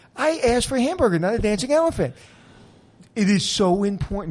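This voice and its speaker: A man talks at a very fast pace in a high pitch. His pitch swings very widely. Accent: New York. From Brooklyn, New York. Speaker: podcast host, hotel expert. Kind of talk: casual interview chat.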